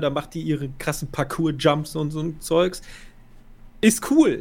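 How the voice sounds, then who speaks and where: A man's fairly slow delivery holds fairly even intonation at a fairly high pitch. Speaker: film podcast co-host. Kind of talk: casual chat.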